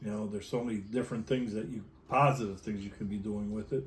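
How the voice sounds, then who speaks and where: A man talks at a fairly low pitch. His voice is somewhat breathy. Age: 60s. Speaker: electronics technician and union president. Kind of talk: interview. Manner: halting, many fillers and repetitions.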